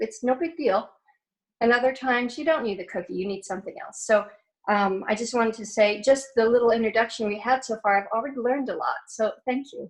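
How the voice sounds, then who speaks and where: A woman speaks in a normal speaking voice at a fairly quick pace, her fairly high pitch moving with ordinary variation while her loudness swings widely. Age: 60s. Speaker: participant in women's wellness circle. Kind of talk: casual group video chat. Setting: video call.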